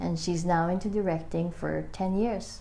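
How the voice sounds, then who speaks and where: A woman is speaking. Her pace is fairly slow. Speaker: book reader and amateur video maker. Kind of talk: casual book reading with commentary to camera.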